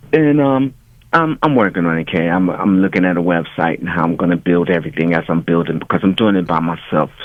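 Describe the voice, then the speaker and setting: Speaking at a very fast pace with an American accent, a man uses lively intonation and a very deep, low pitch. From US South. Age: 60s. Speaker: musician. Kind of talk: interview.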